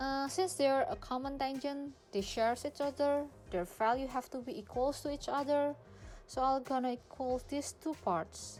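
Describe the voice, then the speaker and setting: Over background music, a woman with a high pitch speaks at a moderate pace with ordinary pitch variation. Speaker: freelance math tutor. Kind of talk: tutorial. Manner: casual, informal.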